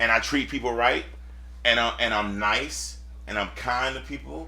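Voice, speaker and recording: A man's animated, bright and sharp voice at a fairly low pitch, with very wide pitch swings, a moderate pace and audible room echo. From US South, Lakeland, Florida. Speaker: mortgage businessman. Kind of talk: casual chat.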